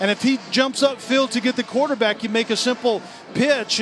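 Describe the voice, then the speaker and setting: There is noticeable background noise behind this man. He speaks at a moderate pace with extremely high pitch. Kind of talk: live sports commentary, analysis. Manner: measured, explanatory, conversational.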